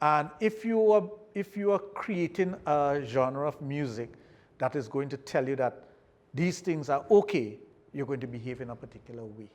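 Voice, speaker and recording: A moderate pace paired with lively intonation. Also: man, fairly high pitch for a man. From Trinidad and Tobago. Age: 60s. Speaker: sexologist. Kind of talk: podcast interview.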